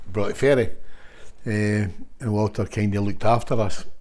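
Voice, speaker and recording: Ordinary pitch variation marks this voice with a Scottish accent. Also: man. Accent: Scottish (Fife). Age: 60s. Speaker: football manager. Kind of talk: casual interview chat. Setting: at the guest's home.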